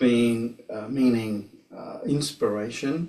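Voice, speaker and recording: Fairly even intonation from a man of medium pitch with an Australian accent. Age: 60s. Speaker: tai chi teacher. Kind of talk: personal testimony. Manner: halting.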